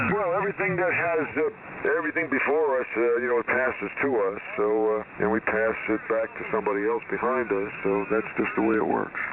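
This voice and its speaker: A man's voice with very wide pitch swings and very even loudness, plus noticeable background noise. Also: medium pitch for a man. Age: 70s. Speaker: ham radio operator. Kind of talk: casual chat.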